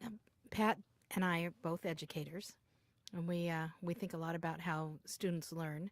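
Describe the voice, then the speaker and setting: A woman with an American accent talks at a moderate pace in a fairly low pitch, her intonation fairly even and broken by long, frequent pauses. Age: 50s. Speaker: educator, interviewer. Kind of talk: oral history interview.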